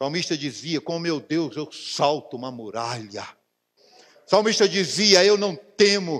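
With a Brazilian accent, a man speaks at a fairly slow pace in a high pitch, his tone animated and his intonation lively. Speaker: pastor. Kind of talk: sermon. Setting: church. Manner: animated, fervent, exclaiming repeated hallelujahs; colloquial, preaching with personal anecdotes and direct address to the congregation. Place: church.

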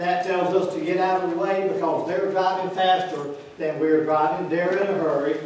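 Strong room echo surrounds a man with a high pitch and a slightly mellow tone, who speaks at a moderate pace with fairly even intonation.

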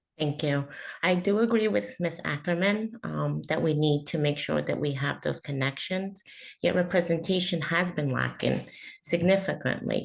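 This voice carries a Spanish accent and vocal fry. The pace is moderate and the intonation lively. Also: woman, very deep, low pitch for a woman. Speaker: school board candidate. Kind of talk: candidate forum answer. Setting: video call. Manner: halting.

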